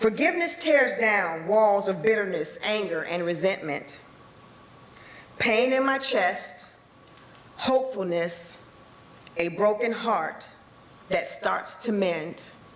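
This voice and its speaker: A woman of medium pitch speaks at a very slow pace with long, frequent pauses over noticeable background noise. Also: lively intonation. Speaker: poet performing her own poem. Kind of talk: live poetry reading.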